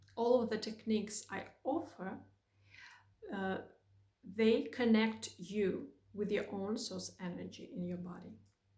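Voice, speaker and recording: In a room with audible echo, a woman with a fairly high pitch speaks at a fairly slow pace with ordinary pitch variation and long, frequent pauses. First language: Russian. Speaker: spiritual guide. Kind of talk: spiritual talk to camera.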